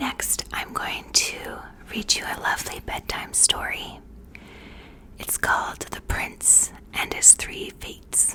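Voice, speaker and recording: The speaker is whispering at a very slow pace. Noticeable background noise runs underneath. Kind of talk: ASMR intro and fact reading. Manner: soft, relaxing, close-mic whisper.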